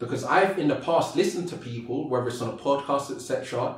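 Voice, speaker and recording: A man with a fairly high, somewhat breathy voice speaks at a fairly quick pace, and the room echo is audible. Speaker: motivational speaker. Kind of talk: podcast interview. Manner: fast.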